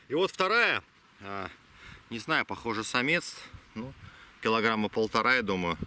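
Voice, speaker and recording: With very wide pitch swings, a man's voice sits at a medium pitch. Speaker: travel vlogger. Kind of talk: vlog narration. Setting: outdoors. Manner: quiet; halting.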